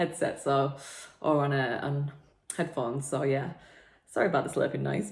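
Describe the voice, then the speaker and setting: A woman with a northern English accent speaks at a fairly quick pace. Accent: broad northern English. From northern England, Preston. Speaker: personal trainer and podcast host. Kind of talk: casual podcast monologue.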